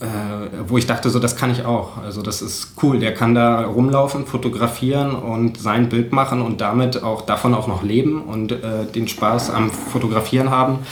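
A man talks in a flat monotone at medium pitch. Audible room echo and noticeable background noise surround his voice. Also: fairly slow pace. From eastern Germany, Cottbus. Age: 20s. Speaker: photojournalist and podcaster. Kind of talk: casual chat. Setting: home kitchen.

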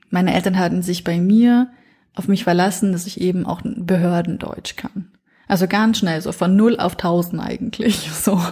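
At a moderate pace and medium pitch, a woman speaks in a dark, mellow, somewhat breathy tone with fairly even intonation. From northern Iraq, then Franconia (Nuremberg) from age nine. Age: 30s. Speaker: podcast foreign-news reporter. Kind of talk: casual interview chat.

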